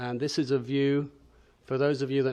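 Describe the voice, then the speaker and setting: With a New Zealand accent, a man talks in a monotone, flat intonation. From northern New Zealand. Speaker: pharmaceutical executive. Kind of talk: conference presentation. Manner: hesitant, many fillers.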